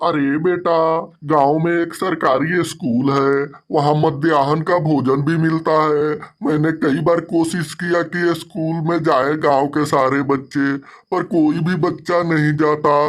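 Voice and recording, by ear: A man's cartoonish character voice, fairly high in pitch, at a fairly slow pace with hardly any pauses.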